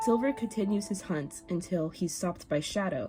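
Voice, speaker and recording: A quiet voice speaks at a moderate pace with lively intonation over music in the background. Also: woman. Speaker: digital artist. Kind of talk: casual commentary over speedpaint. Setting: home recording, low-quality microphone.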